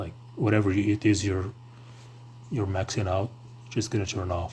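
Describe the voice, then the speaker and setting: A somewhat breathy man talks at a moderate pace. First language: non-English. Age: 20s. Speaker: tech streamer. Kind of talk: casual chat. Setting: live stream. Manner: hesitant, many fillers.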